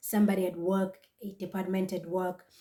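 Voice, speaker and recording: Somewhat breathy, a woman speaks at a moderate pace in a dark, mellow tone. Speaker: vlogger. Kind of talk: casual vlog talk to camera.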